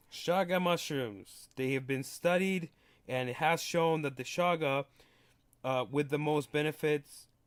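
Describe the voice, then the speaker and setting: A man with a fairly high pitch and ordinary pitch variation talks at a fairly slow pace on a very clean recording with a silent background. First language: not English. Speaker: podcast host. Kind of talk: solo podcast monologue. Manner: casual, with many fillers and restarts.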